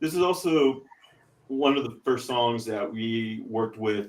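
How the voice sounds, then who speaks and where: Speaking with an American accent, a man at medium pitch moves at a fairly slow pace with ordinary pitch variation. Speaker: podcast co-host and metal band member. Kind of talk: casual chat. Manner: hesitant, many fillers.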